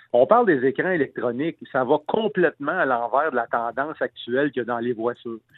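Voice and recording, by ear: With a dry, close sound and no echo, a man speaks fast at medium pitch with ordinary pitch variation.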